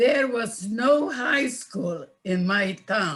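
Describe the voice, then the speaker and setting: Her voice is fairly high and somewhat breathy. The woman speaks very slowly, with lively intonation. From Czechoslovakia. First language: Yiddish. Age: 90s. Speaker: Holocaust survivor. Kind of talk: testimony. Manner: halting.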